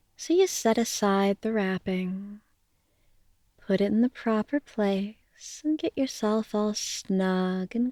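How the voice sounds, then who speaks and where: The voice has a dark, mellow tone and ordinary pitch variation, moving at a very slow pace. The recording is very clean with a silent background. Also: woman. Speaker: hypnotist. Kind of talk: bedtime hypnosis sleep story. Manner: soft, slow, relaxing.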